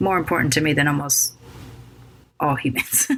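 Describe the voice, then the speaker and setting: With an American accent, a woman speaks at a moderate pace in a very deep, low pitch. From United States. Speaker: podcast host. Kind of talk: podcast intro monologue. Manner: labored; hesitant, with many fillers.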